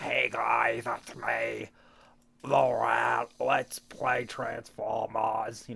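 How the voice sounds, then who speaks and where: A man's raspy, put-on character voice, playful in tone and at a very slow pace. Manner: playful, imitating a sick voice.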